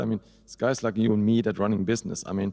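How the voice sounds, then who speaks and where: A man with a German accent talks at a very fast pace in a fairly low pitch. His intonation stays monotone and flat. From Germany. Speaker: hosting company CEO. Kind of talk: panel discussion.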